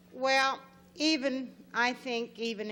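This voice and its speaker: A woman with a Texas accent. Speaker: game show contestant. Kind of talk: casual chat.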